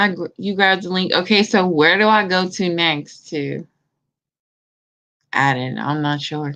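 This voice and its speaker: At a fairly slow pace with long, frequent pauses, a woman speaks in a bright, sharp tone with a fairly low pitch and ordinary pitch variation. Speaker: livestream host. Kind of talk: casual chat. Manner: stuttering.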